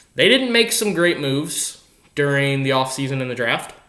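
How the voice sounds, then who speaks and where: The pace is moderate. Room echo can be heard. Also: man. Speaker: sports vlogger. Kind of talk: casual monologue. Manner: halting.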